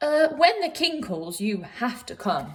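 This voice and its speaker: A woman in a put-on character voice makes very wide pitch swings at a fairly slow pace. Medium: read story.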